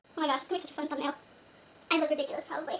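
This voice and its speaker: Noticeable background noise runs behind a woman as she speaks. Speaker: beauty and lifestyle vlogger. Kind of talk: behind-the-scenes bloopers. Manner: fast.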